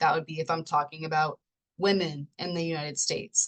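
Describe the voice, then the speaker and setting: A woman speaks at a fairly quick pace. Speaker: sociology professor. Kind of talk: recorded lecture. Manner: casual, with fillers and self-corrections; stumbles over words.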